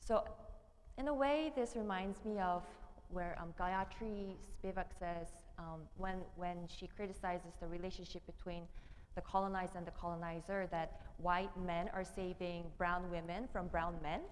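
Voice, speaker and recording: Speaking at a moderate pace with a medium pitch and ordinary variation, a woman's voice carries audible room echo. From South Korea. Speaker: theology PhD candidate and minister. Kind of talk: panel discussion. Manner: hesitant, with many fillers.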